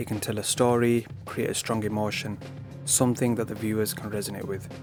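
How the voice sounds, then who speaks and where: Music plays in the background as a man talks. His pitch is medium and his pace fairly quick. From Britain. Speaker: digital art tutor. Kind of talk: art tutorial narration. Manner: flat, low-key.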